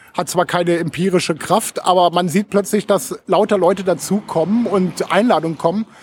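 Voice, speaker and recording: High pitch from a man at a moderate pace. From Lower Saxony, Germany (Hameln). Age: 40s. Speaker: social media consultant and blogger. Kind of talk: casual interview. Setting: studio in Berlin.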